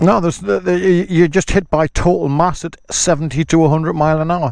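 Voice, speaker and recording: In an unremarkable speaking voice, a man talks at a fairly quick pace, his pitch fairly high with ordinary variation. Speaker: motorcycle vlogger. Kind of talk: casual talk to camera.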